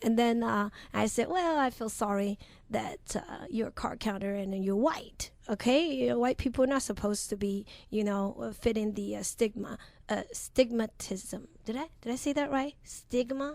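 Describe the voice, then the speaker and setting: A woman speaks with a Chinese accent at a moderate pace. Her pitch is fairly high, with ordinary pitch variation. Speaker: professional blackjack player. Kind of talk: radio interview. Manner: halting with repetitions.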